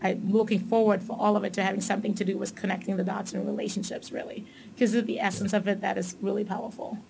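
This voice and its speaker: Over noticeable background noise, a woman speaks very fast at a medium pitch, monotone and flat, with hardly any pauses. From Tanzania, raised in Germany. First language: German. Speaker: corporate manager. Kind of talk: casual interview.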